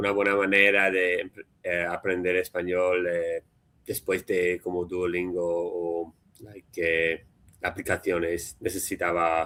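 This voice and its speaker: Very slowly, a man speaks in a very deep, low voice that is bright and sharp in tone yet monotone and flat in intonation. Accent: English. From US, Philadelphia. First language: English (speaking Spanish). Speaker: Spanish learner, software developer. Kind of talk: casual chat. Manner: halting, many fillers.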